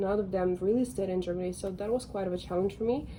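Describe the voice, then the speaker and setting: A woman speaks at a medium pitch, keeping her intonation fairly even. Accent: Russian. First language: Russian. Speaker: lifestyle vlogger. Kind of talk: casual vlog monologue. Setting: balcony at home. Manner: conversational, many fillers.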